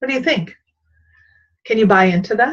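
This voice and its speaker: The delivery is animated and somewhat breathy, with lively intonation. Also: woman. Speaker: leadership coach. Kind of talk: vlog-style talk on leadership. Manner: fast.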